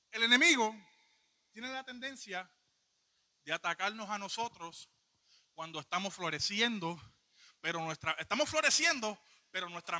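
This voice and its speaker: In a raised, projected voice, a man with a bright, sharp tone and high pitch uses lively intonation, big swings in loudness and long, frequent pauses, with a dry, close sound and no echo. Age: 20s. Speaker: lay preacher. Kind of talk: sermon. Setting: church.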